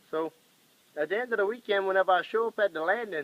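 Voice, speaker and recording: The speaker has a Cajun accent and talks at a very fast pace. The sound is dry and close, with no echo. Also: man. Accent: Cajun Louisiana English. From Louisiana, New Iberia (Cajun). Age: 20s. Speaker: machinist and commercial fisherman. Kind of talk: casual self-introduction video. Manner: casual, hesitant with fillers.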